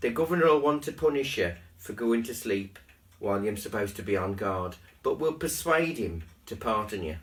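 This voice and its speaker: A man with a medium pitch sounds somewhat breathy, his pitch swinging very widely. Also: moderate pace. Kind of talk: Bible story reading.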